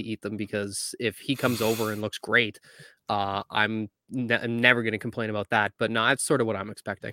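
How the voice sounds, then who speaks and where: A man speaks at a very fast pace and medium pitch, with fairly even intonation and a bright, sharp tone. The sound is dry and close with no echo, on a very clean recording with a silent background. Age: 20s. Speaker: hockey podcast co-host. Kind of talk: casual chat.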